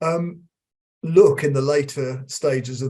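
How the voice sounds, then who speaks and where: A dark, mellow tone comes through somewhat breathy, with ordinary pitch variation. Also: man. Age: 60s. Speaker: emeritus professor of occupational psychology. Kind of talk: interview. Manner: halting, many repetitions.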